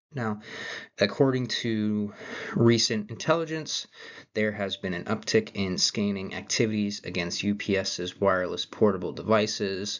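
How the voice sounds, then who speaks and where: Soft-spoken and fairly slow, a man talks at a fairly low pitch with fairly even intonation. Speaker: college student. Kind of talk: class presentation. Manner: hesitant, many fillers.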